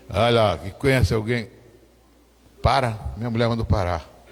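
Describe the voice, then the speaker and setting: The man's voice sits at a medium pitch. He keeps a moderate pace. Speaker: pastor. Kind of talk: testimony. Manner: animated.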